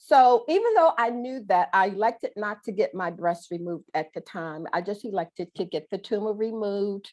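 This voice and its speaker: This is an ordinary speaking voice at a moderate pace with ordinary pitch variation. There are hardly any pauses. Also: woman, medium pitch for a woman. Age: 60s. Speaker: breast cancer survivor and motivational speaker. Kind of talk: testimony. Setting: video call.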